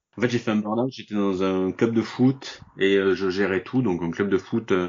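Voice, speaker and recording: Moderate pace and ordinary pitch variation from a man with a fairly low voice. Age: 40s. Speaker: online shop owner, burnout survivor. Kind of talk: interview. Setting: remote recording from home. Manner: hesitant, with fillers.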